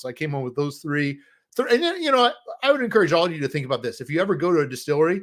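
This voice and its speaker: A man talks with lively intonation on a very clean recording against a silent background. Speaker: board game designer and company owner. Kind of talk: casual livestream chat. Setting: live stream. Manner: fast; hesitant with many fillers.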